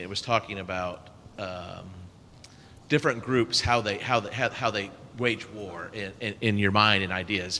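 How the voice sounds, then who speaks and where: Loud male speech at a fairly low pitch and moderate pace, with a bright, sharp tone and fairly even intonation. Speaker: class participant. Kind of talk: Bible class discussion.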